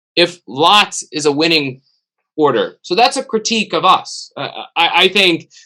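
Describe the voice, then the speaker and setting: A man's high, bright and sharp voice with an American accent, lively intonation and a fairly slow pace. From United States. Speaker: theology professor. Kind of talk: webinar discussion. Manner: halting.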